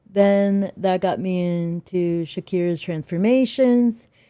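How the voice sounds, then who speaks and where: A woman speaks at a medium pitch with ordinary variation and a dark, mellow tone. The sound is dry and close, with no echo. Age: 30s. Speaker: video creator reacting to health content. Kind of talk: casual talk to camera. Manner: halting, many fillers.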